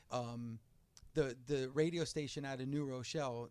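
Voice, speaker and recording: A man's normal speaking voice, medium in pitch with an American accent, at a moderate pace with fairly even intonation. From New Jersey. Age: 40s. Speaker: radio host. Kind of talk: casual interview chat.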